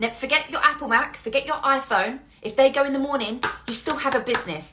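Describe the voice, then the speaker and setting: In a raised, projected voice, a woman talks animatedly at a very fast pace, high in pitch with ordinary pitch variation. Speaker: business coach. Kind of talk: motivational monologue. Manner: loud.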